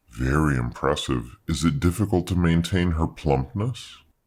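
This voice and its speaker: A man uses a put-on character voice with a very deep, low pitch. He speaks at a moderate pace. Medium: read story. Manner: polite, genteel, faintly condescending.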